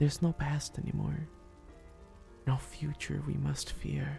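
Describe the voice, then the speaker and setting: A soft-spoken man whispers in a gentle tone. He goes very slowly, with music in the background. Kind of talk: ASMR roleplay, soft spoken comforting talk to listener. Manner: soft-spoken, gentle, whispery.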